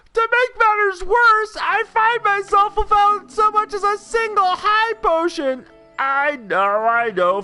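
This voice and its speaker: A put-on character voice moves at a fairly slow pace over faint background music. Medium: game stream. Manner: melodramatic.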